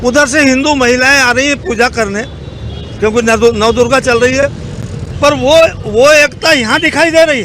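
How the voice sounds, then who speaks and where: Over noticeable background noise, a man projects a raised voice at an extremely high pitch. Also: ordinary pitch variation. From Madhya Pradesh, India (Khargone). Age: 70s. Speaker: former legislator. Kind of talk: street interview.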